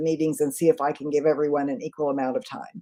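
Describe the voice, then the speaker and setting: This is a woman's voice. She talks at a fairly quick pace. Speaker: leadership trainer and author. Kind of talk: live online session with viewer questions. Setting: livestream. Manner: fast.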